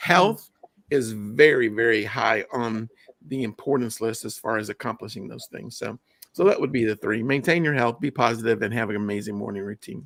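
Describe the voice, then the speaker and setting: This man has a plain, everyday voice at a medium pitch, speaking at a moderate pace with ordinary pitch variation and big swings in loudness, in a dry, close sound with no echo. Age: 60s. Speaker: wellness guest. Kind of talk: live stream chat.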